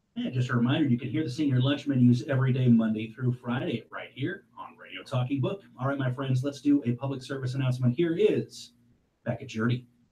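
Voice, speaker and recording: A man's dark, mellow, somewhat breathy voice at medium pitch, fairly quick in pace, with fairly even intonation. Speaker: radio host. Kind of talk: live radio hosting.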